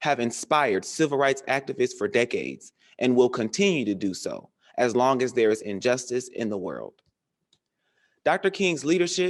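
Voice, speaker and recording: A man with a plain, everyday voice speaks at a moderate pace, with fairly high pitch and lively intonation, against a quiet background. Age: 20s. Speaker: college student and emcee. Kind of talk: spoken word speech at a commemoration program.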